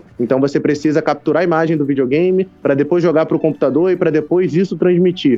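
A man talks at a very fast pace with hardly any pauses. His loudness stays very even. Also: fairly high pitch for a man, fairly even intonation. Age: 20s. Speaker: gamer livestreamer and computer science student. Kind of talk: casual interview chat.

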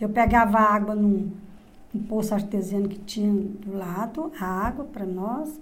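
A somewhat breathy woman speaks in a medium pitch, and audible room echo surrounds her voice. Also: ordinary pitch variation, fairly slow pace. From Goiás, Brazil (interior). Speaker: interviewee, host's mother. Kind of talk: life story testimony.

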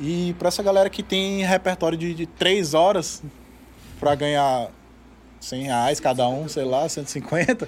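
A man speaks very slowly, leaving long, frequent pauses. His pitch is fairly high, with ordinary variation. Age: 30s. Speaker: musician and studio owner. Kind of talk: casual chat. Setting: studio.

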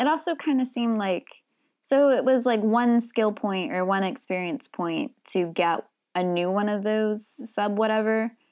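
A woman speaks in a plain, everyday voice with ordinary pitch variation. The recording is very clean, with a silent background. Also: fairly high pitch for a woman, moderate pace. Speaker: podcast co-host. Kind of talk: casual podcast discussion about RPG design.

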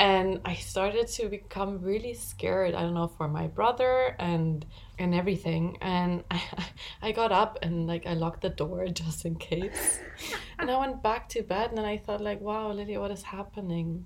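A woman's voice moves at a moderate pace, its pitch rising and falling in an ordinary way, with noticeable background noise behind it. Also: medium pitch for a woman. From Spain. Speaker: podcast co-host. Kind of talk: casual chat.

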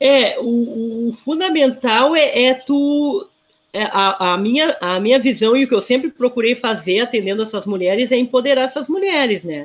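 Speaking at a moderate pace, a woman uses a high voice with lively intonation. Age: 50s. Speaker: social worker. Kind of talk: interview.

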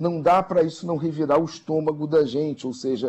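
A man speaks at a moderate pace in an unremarkable speaking voice. His pitch is fairly high. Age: middle-aged. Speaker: social media analyst commentator. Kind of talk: radio news commentary.

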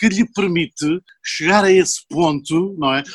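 A fairly slow pace in a dry, close sound with no echo. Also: man. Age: 60s. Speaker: chemical engineer and poet. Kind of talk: casual chat.

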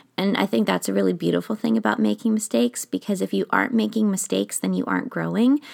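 On a very clean recording with a silent background and a dry, close sound with no echo, a woman talks at a very fast pace with very even loudness. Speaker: podcast host, author and mindset coach. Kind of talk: solo podcast monologue. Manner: occasional stumbles over words.

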